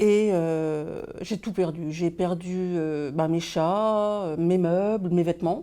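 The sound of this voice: A woman's dark, mellow voice moves at a slow pace with ordinary pitch variation. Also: fairly low pitch for a woman.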